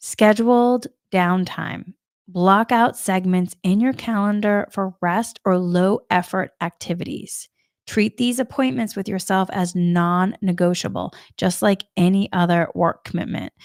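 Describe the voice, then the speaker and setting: Speaking fairly slowly with a slight Boston accent, a woman is captured dry and close with no echo against a silent background in a very clean recording. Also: medium pitch for a woman, ordinary pitch variation. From US Northeast, Massachusetts. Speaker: spiritual coach. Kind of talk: spiritual talk. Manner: casual, meandering.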